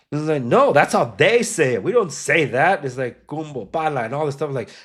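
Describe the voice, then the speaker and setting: An animated man with an American accent talks at a moderate pace, with a fairly high pitch and lively intonation. The recording is very clean, with a silent background. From Los Angeles area, Compton, Salvadoran family. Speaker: podcast host. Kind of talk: casual chat.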